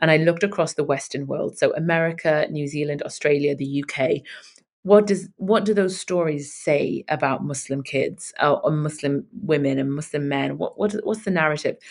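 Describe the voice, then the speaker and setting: A woman's very deep, low voice with ordinary pitch variation, at a moderate pace. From northern England. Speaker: writer and radio host. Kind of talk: interview conversation.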